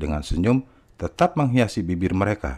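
A man speaks at a moderate pace with vocal fry and very wide pitch swings. The background is quiet. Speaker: audiobook narrator. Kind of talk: audiobook narration, reading aloud a nonfiction book. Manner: steady, even, measured storytelling pace; clear, formal, explanatory tone.

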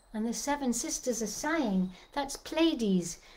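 A woman talks at a very slow pace with lively intonation. Music plays in the background. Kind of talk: casual performance chat. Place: home room. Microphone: phone near.

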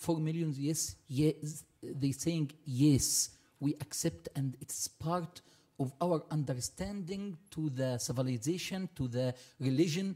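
A man with an Arabic accent at a fairly high pitch, somewhat breathy and dark and mellow in tone, with ordinary pitch variation at a very slow pace. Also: quiet background. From Egypt. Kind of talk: panel discussion. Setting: stage with audience. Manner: halting. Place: hall. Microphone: podium.

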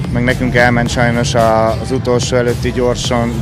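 Clear music plays in the background. Over it, a man speaks in a dry sound with no echo. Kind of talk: interview answer. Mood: content, relieved after finishing. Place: street. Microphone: handheld.

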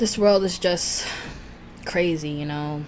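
A woman talks in a fairly low pitch. Light background noise can be heard. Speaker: food YouTuber. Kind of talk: mukbang eating video, casual talk to camera. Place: home room.

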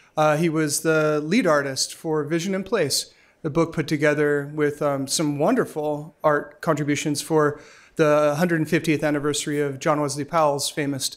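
A man's speech moves at a moderate pace, his intonation monotone and flat. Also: quiet background. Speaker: event host introducing a speaker. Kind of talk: speaker introduction. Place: hall. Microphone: podium.

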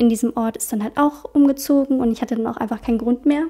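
Against a quiet background, a woman talks very fast at a high pitch with a dark, mellow tone. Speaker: podcast host. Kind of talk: casual podcast Q&A chat. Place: home room. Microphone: studio mic.

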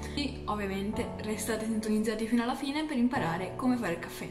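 A woman at a very fast pace, with ordinary pitch variation and clear music in the background. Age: young. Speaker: vlogger. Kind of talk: tutorial. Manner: casual, chatty. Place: kitchen.

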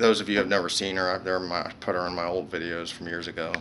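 A man with a very deep, low pitch speaks in a monotone, flat manner over light background noise. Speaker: vlogger. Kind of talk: casual vlog chat. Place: home room. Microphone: phone near.

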